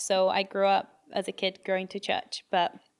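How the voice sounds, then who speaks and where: In a British accent, a woman with a medium pitch talks at a fairly slow pace. The recording is very clean, with a silent background. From England (moved from Brazil at eight). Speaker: podcast co-host. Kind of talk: testimony.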